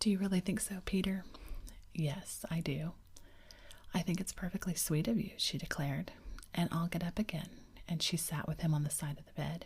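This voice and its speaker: This woman's voice is fairly low and somewhat breathy. Her intonation stays fairly even. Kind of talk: ASMR audiobook reading for sleep. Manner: soft, calming.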